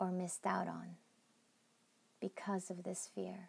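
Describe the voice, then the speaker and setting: A woman speaks in a calm, somewhat breathy tone. Her pace is very slow. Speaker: meditation guide. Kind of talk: guided meditation. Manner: slow, calm.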